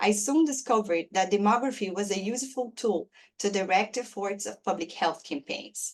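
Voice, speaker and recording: With a Brazilian Portuguese accent, a woman speaks at a moderate pace in a medium pitch with ordinary variation. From Brazil, Belo Horizonte. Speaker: demography professor, award recipient. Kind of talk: prepared speech read aloud. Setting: webinar.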